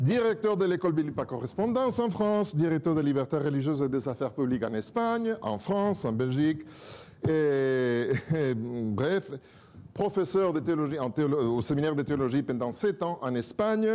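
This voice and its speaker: Pitched fairly high, a man speaks in a strong Spanish accent. His pitch swings very widely at a moderate pace. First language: Spanish (speaking French). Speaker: pastor and church director. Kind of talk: self-introduction to congregation.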